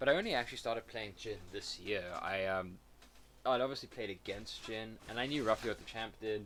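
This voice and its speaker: With an American accent, a man speaks at a moderate pace in a fairly low pitch and fairly even intonation. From South Africa. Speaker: gamer streamer. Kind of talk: gameplay commentary. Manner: casual, halting with repeats.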